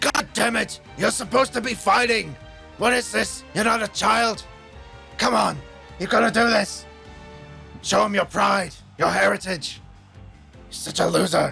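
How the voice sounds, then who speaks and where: A loud, put-on character voice from a man, pitched high, over clear music in the background. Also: moderate pace. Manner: angry, shouting, berating.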